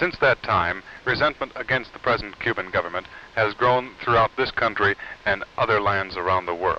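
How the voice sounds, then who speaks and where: Over noticeable background noise, a man speaks at a very even loudness. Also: fairly low pitch for a man, ordinary pitch variation, moderate pace. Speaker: TV news reporter. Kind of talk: 1950s TV news report, formal broadcast delivery. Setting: TV news report, on location interviews. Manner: formal, measured, authoritative.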